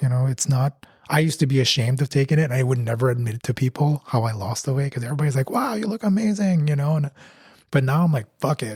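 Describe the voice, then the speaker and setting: The recording is dry and close with no echo, carrying a man's fairly high, somewhat breathy voice. His tone is dark and mellow, and his pitch varies in an ordinary way. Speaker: podcast co-host. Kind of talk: casual chat.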